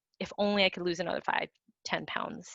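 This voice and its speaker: There is ordinary pitch variation as a woman talks in an unremarkable speaking voice. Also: dry, close sound with no echo. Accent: American. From US, Vietnamese American. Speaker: playwright. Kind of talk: panel discussion.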